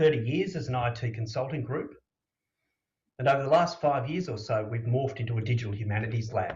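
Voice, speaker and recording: Pitched at a medium level, a man with an Australian accent sounds somewhat breathy, his pitch varying ordinarily amid audible room echo. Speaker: conference speaker. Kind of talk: conference presentation.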